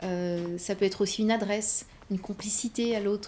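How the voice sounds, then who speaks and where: Somewhat breathy, a woman speaks in a dark, mellow tone with fairly even intonation. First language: Berber (speaking French). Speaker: novelist. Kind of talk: interview. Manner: halting.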